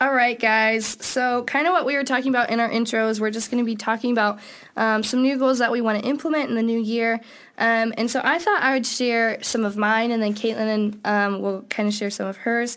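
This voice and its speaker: Here is a woman with an ordinary speaking voice at a fairly high pitch. She speaks at a fairly quick pace with fairly even intonation. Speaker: podcast co-host. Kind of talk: casual chat.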